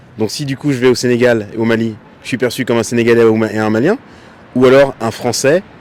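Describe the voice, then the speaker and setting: A man with a medium pitch and fairly even intonation talks very fast while noticeable background noise carries on. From France. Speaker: passer-by interviewee. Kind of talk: street interview.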